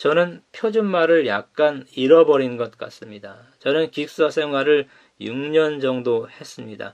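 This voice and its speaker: Fairly slow and lively in intonation, a man with a fairly high pitch speaks with big swings in loudness. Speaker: pastor. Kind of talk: sermon.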